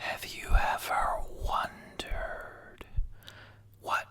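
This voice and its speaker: Against noticeable background noise, the speaker whispers very slowly. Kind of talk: ASMR personal story telling. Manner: whispered.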